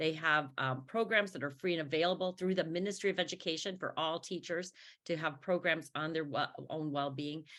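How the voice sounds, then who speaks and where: In a very clean recording with a silent background, a woman with an American accent speaks at a fairly low pitch with a bright, sharp tone and ordinary pitch variation. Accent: Chicago accent, with some Canadian. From US Midwest, Chicago. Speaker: professor of education. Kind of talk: panel discussion.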